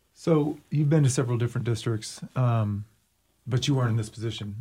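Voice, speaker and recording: Somewhat breathy at a medium pitch, a man speaks at a fairly quick pace with fairly even intonation on a very clean recording with a silent background. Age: 40s. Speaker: podcast host, school district video producer. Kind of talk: casual interview chat.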